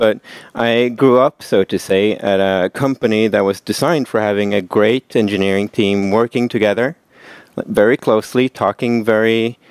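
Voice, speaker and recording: A man with an unremarkable speaking voice and fairly low pitch talks at a moderate pace, with fairly even intonation and very even loudness, in a dry sound with no echo against a quiet background. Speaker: presenter. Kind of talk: conference talk. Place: meeting room.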